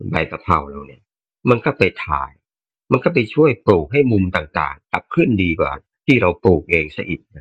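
In a dry, close sound with no echo, a man speaks at a very deep, low pitch, somewhat breathy, with very wide pitch swings. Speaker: listener sharing reflections. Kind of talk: casual sharing in online Dharma session.

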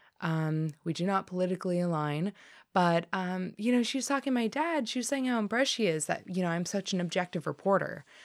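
On a very clean recording with a silent background, a woman with a General American accent talks at a very fast pace in a medium pitch, her intonation lively. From US West (Colorado). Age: 20s. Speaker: journalist. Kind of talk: interview. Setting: studio. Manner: subdued.

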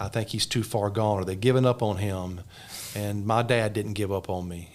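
This speaker has an Alabama accent, ordinary pitch variation, and a moderate pace. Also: man. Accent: Southern US (Alabama). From US South, south Alabama. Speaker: pastor. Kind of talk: testimony.

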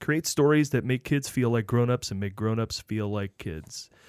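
A man with a plain, everyday voice talks at a moderate pace in a medium pitch with lively intonation, on a very clean recording with a silent background. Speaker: radio show host. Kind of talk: casual interview chat.

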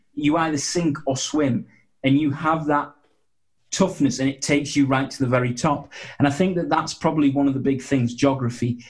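A man's fairly high voice is somewhat breathy, and his intonation stays fairly even. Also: moderate pace. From northeast England. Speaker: sports officiating business founder. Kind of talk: interview. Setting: video call. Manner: halting, repeats words.

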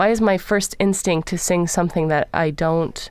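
A woman with an American accent speaks in a plain, everyday voice at a fairly low pitch, with ordinary pitch variation. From Los Angeles, California. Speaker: singer of Balkan vocal music. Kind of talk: interview.

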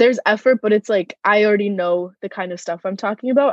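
Here is a plain, everyday voice from a woman. The pitch moves with ordinary variation. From US East Coast (Virginia and Massachusetts), born in Moscow. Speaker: college student. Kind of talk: interview.

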